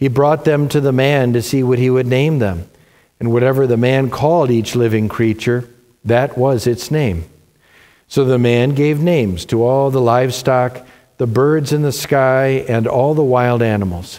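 Here a man speaks at a moderate pace with a dark, mellow tone and ordinary pitch variation. His loudness stays very even over a quiet background. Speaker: pastor leading worship. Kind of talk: liturgical prayer and scripture reading. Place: church. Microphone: lapel.

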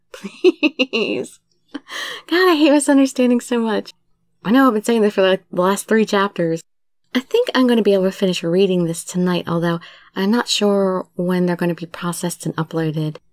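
A woman talks at a moderate pace with medium pitch and lively intonation in a plain, everyday voice, recorded very cleanly with a silent background and a dry, close sound with no echo. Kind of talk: casual talk to audience.

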